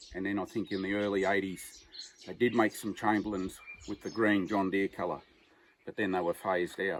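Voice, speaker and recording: A man speaks at a fairly quick pace with an Australian accent. His fairly low pitch carries monotone, flat intonation. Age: 60s. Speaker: farmer. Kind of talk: casual chat.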